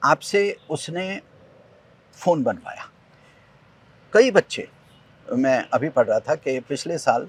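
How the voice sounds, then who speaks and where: Recorded with a dry, close sound and no echo, a man speaks at a high pitch with very wide pitch swings. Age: 50s. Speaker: environmental activist, tree planter. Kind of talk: interview conversation. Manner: animated.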